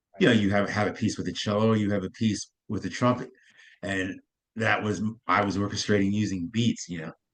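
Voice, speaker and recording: With an American accent, a man talks at a fairly quick pace, his fairly low voice held to fairly even intonation. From US. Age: 60s. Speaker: jazz pianist and composer. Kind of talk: interview conversation. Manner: halting, repeats words.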